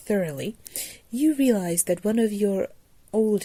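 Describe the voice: The voice is plain reading aloud. Nothing else stands out beyond that plain reading aloud.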